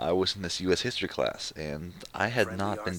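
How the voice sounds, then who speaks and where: Through noticeable background noise comes a man's very deep, low voice with ordinary pitch variation. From US, Mexican-American family. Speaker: gaming commentator. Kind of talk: casual monologue. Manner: halting, many fillers.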